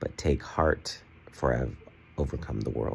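A man talks at a moderate pace in a very deep, low pitch with vocal fry. Light background noise sits behind him. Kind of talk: casual vlog chat. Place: home room. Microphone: phone near.

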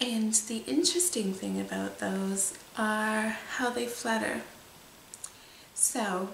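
Speaking at a very slow pace, a woman with a fairly high pitch and ordinary pitch variation is heard over light background noise with audible room echo. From Canada. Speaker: hypnotist. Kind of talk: casual talk to camera. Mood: soft, calm, soothing.

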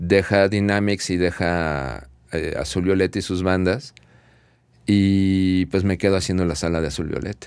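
A man's very deep, low voice at a fairly slow pace, with fairly even intonation, dry sound with no echo and a quiet background. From Mexico City. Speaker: audio engineer; guest. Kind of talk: casual chat. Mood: relaxed, reminiscing. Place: studio. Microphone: studio mic.

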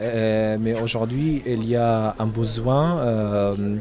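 A man speaks slowly at a fairly low pitch, his tone dark and mellow. His intonation stays fairly even over faint background noise.

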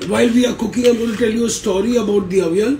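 A man's intonation stays fairly even as music plays in the background. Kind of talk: cooking tutorial. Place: kitchen. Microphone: phone near.

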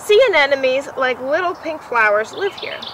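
Soft-spoken and high in pitch, a woman talks in a warm, cheerful tone with very wide pitch swings, the sound dry with no echo and noticeable background noise behind her. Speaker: museum educator. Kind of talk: children's picture-book read-aloud, gentle storytelling. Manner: soft, soothing storyteller cadence with playful child and mother voices; warm, unhurried build to a cheerful hushed ending. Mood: gentle, warm storytelling. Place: garden.

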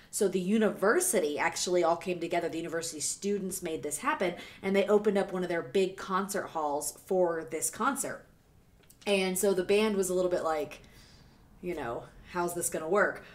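A woman speaks with an American accent at a fairly quick pace. Her pitch varies in an ordinary way. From US South, Savannah, Georgia. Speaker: music reaction YouTuber, former radio host. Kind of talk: casual vlog monologue. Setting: home video recording. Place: home room. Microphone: studio mic.

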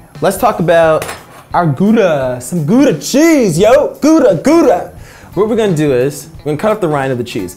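Faint music plays in the background as a man talks at a moderate pace. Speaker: cooking show host. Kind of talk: tutorial. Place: kitchen. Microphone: lapel.

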